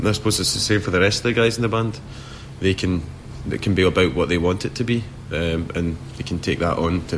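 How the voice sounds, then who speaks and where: Over noticeable background noise, a man with a very deep, low voice talks very fast, his pitch varying in an ordinary way. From Scotland, near Glasgow. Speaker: rock band singer. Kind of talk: interview. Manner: halting, many repetitions and restarts.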